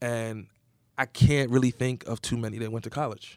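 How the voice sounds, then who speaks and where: Speaking with an American accent, a man keeps a medium pitch in a monotone, flat intonation. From southern New Jersey. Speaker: nonprofit executive director. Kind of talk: interview.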